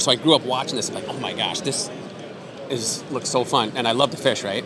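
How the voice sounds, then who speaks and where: A man's medium-pitched voice with an American accent, over noticeable background noise. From Iowa, US Midwest. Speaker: fishing TV host and resort owner. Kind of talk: casual interview chat.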